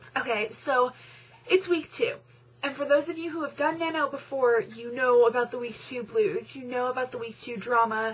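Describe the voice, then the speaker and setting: A woman's high-pitched voice at a moderate pace, with big swings in loudness. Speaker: vlogger. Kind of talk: pep talk to fellow novel writers, chatty and encouraging, direct address to camera. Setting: video blog. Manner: animated, conversational, reassuring, with fillers and self-deprecating asides. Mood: encouraging, upbeat pep talk. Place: home room. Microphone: webcam.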